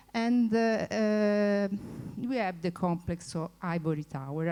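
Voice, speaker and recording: Speaking with an Italian accent, a woman has a dark, mellow tone at a medium pitch. She talks very slowly, with ordinary pitch variation. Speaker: former researcher, conference speaker. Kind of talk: conference talk. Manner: halting, many fillers.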